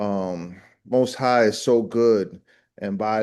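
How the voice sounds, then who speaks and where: Here is a man with a plain, everyday voice at medium pitch. His ordinary pitch variation comes over a quiet background. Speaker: ministry host. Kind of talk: opening prayer and interview introduction.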